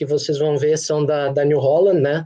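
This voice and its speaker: Delivered at a moderate pace in a southern Brazilian accent, the voice has a dark, mellow tone and flat, monotone intonation. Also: man. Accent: gaúcho. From Rio Grande do Sul, Brazil (Santa Rosa, northwest). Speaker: agricultural machinery company executive. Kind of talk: webinar presentation.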